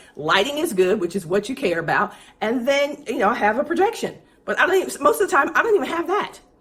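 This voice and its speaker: A woman's high, animated voice, very fast and full of very wide pitch swings, over noticeable background noise. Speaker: business coach for speakers and consultants. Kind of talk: livestream tutorial.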